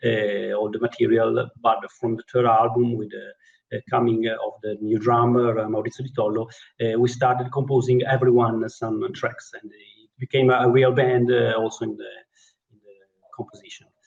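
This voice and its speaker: Speaking with an Italian accent, a man sounds somewhat breathy at a medium pitch and moderate pace. His intonation is monotone and flat, with big swings in loudness. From Italy. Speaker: keyboard player in a rock band. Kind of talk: interview. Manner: halting.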